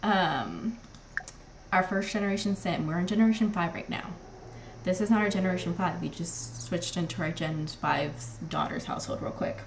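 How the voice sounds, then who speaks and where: Audible room echo surrounds a woman whose fairly low pitch and lively intonation move at a fairly quick pace. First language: not English. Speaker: gaming streamer. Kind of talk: live gameplay commentary. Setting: live stream. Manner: casual, chatty with fillers.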